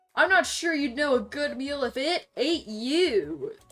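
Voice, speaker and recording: Shouting in a put-on character voice, a woman uses a high pitch and lively intonation at a fairly slow pace, with music in the background. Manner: yelling, angry.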